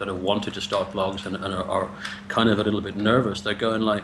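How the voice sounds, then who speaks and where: A man's fairly low voice with an English accent, fairly even intonation, and noticeable background noise. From England. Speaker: blogger and interviewer. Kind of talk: casual interview. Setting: Skype call. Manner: repeats words, stammering starts.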